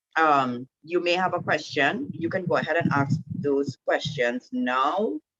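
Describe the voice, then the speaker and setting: In a Trinidadian accent, the voice carries lively intonation, recorded with a dry, close sound and no echo. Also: woman. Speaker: women's group speaker. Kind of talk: online talk to a group. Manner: casual, hesitant with many fillers.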